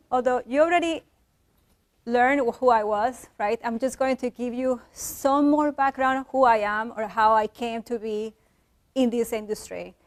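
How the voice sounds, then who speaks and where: Speaking in a Colombian accent at a moderate pace, a woman with a high pitch keeps fairly even intonation, with a dry, close sound and no echo. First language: Spanish. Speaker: engineer and visiting fellow. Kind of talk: lecture.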